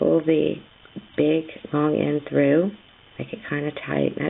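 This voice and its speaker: A woman's voice over noticeable background noise. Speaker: teacher. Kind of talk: tutorial. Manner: casual, halting.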